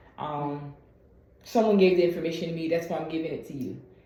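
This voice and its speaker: Her voice is a woman's, fairly low in pitch, with fairly even intonation. Audible room echo and noticeable background noise accompany it. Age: 20s. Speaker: patient and content creator. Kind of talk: medical appointment conversation. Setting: video call. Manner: soft-spoken.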